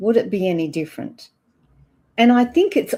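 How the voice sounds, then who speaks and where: In a very clean recording with a silent background, a woman with an Australian accent speaks at a moderate pace in a dark, mellow tone with lively intonation. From Australia, Perth. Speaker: ageing expert. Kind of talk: interview answers.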